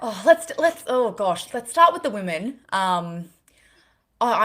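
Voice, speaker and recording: Woman with an Australian accent, very wide pitch swings, on a very clean recording with a silent background. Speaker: fitness podcast co-host. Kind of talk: casual chat.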